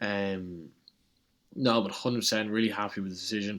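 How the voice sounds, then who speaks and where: Recorded very cleanly against a silent background, a man speaks quickly-ish in a fairly low pitch, at a fairly quick pace. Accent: Irish. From Ireland. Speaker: college tennis player. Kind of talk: casual interview.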